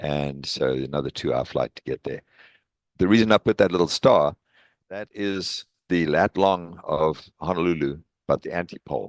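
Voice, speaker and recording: The speaker has a South African accent. The pace is moderate. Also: man. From South Africa, East London. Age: 60s. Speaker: professor emeritus of engineering. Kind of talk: presentation talk. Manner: hesitant with fillers.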